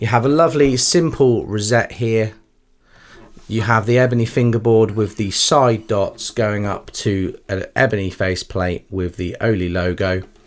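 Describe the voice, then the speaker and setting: Speaking with an English accent, a man keeps a moderate pace and medium pitch with ordinary pitch variation. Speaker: music shop presenter. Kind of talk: product demonstration. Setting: indoor room with lights. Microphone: studio condenser microphone.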